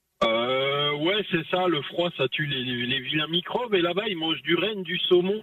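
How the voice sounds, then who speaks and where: A man's high-pitched voice at a fairly slow pace, with ordinary pitch variation, hardly any pauses and noticeable background noise. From Alsace, France. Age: 40s. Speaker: long-haul truck driver. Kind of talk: radio interview, casual chat. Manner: animated, joking.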